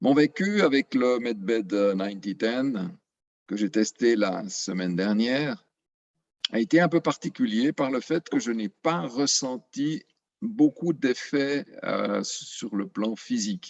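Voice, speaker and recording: A man talks at a medium pitch and a very slow pace. His pitch swings very widely, and the sound is dry and close with no echo. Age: 60s. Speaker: retiree giving testimonial. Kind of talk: testimony. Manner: halting, many filler sounds.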